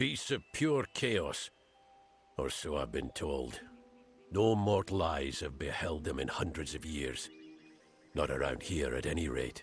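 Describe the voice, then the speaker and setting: A man does a gruff put-on character voice, very deep and low, with lively intonation, a fairly slow pace and long, frequent pauses while faint music plays in the background. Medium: video game. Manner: gruff, commanding.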